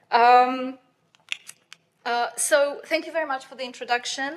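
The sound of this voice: This woman speaks fairly slowly with a high pitch and fairly even intonation.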